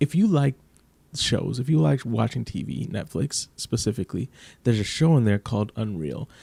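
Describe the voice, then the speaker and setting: Soft-spoken, a man talks at a fairly quick pace in a fairly low, dark, mellow tone with lively intonation. The sound is dry and close with no echo, on a very clean recording with a silent background. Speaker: TV commentary youtuber. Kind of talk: casual commentary vlog.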